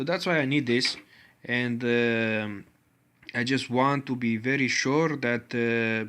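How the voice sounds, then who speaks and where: A man speaks with a Romanian accent. His pitch is medium. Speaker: tech hobbyist video creator. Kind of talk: tutorial. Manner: halting, many filler sounds.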